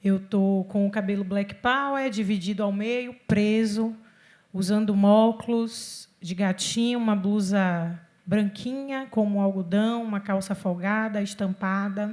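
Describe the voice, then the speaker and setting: Fairly slow delivery in a very clean recording with a silent background. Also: woman, medium pitch for a woman. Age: 40s. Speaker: city official and cultural producer. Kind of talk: panel discussion. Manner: animated.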